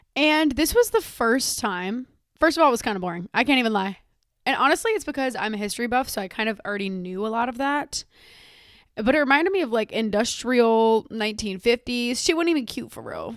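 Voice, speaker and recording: A woman speaks at a fairly quick pace. Her voice is high-pitched. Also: lively intonation. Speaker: podcast host. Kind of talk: casual chat.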